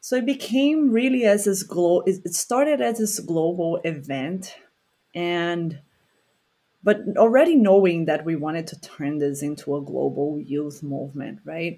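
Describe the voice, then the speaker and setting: A woman with a Portuguese accent speaks at a fairly slow pace in a dark, mellow tone with very wide pitch swings. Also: fairly low pitch for a woman. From Brazil, Rio de Janeiro. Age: 30s. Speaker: environmental educator. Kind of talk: casual chat.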